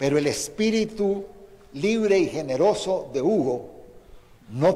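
In a room with audible echo and noticeable background noise, a man with a high pitch speaks very slowly, his intonation lively. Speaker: former guerrilla commander and opposition politician. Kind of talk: prepared eulogy statement. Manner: formal.

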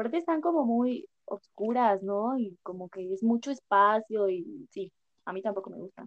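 A woman with a normal speaking voice talks at a fairly slow pace in a fairly high pitch, her intonation lively and her loudness swinging widely. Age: 20s. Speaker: podcast host. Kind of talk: casual chat.

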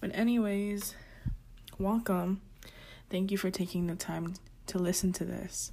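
A woman speaks at a fairly slow pace with long, frequent pauses, her somewhat breathy, medium-pitched voice dark and mellow in tone and flat, monotone in intonation. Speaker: podcast host. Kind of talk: personal podcast monologue about mental health. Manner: halting, repeats words and sentences.

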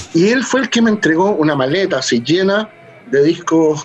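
A man's pitch swings very widely. Noticeable background noise is present. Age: 40s. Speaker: punk musician and librarian. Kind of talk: interview. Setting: home studio.

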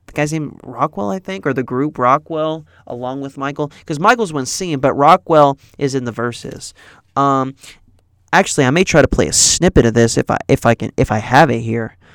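A man speaks at a moderate pace in a fairly high pitch with ordinary pitch variation. The recording is very clean with a silent background and a dry, close sound with no echo. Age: 20s. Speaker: podcast host and student radio newscaster. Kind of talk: casual solo monologue. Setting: radio station studio. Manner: halting, many fillers.

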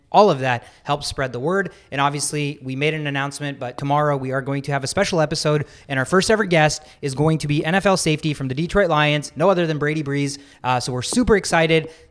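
With music in the background, a man talks at a very fast pace in a fairly high pitch with ordinary pitch variation. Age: 20s. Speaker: sports podcast host. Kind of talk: casual chat.

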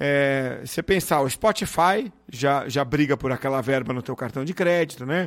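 In a very clean recording with a silent background, a man with a plain, everyday voice talks at a moderate pace with hardly any pauses, a fairly high pitch and ordinary pitch variation. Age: 40s. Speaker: podcast host. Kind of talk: interview.

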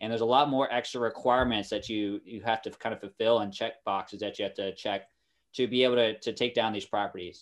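Here a man talks at a very fast pace in an American accent. His pitch is medium, and the background is quiet. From US Midwest, Kansas City. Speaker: naval officer and real estate investor. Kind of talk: interview. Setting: remote call. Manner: animated.

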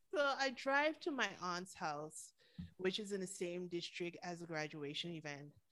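A woman's fairly low, bright and sharp voice in a Caribbean accent, animated, with very wide pitch swings. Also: moderate pace. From Caribbean, St. Martin. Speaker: podcaster. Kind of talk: casual chat.

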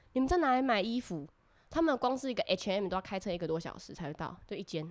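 A woman speaks at a very fast pace with very wide pitch swings. The recording is very clean, with a silent background. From Taiwan. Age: 20s. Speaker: former exchange student. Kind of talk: casual chat.

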